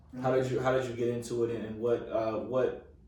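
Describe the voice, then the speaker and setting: Monotone, flat delivery in an American accent, with audible room echo. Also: man. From Florida. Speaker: interviewer. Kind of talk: interview.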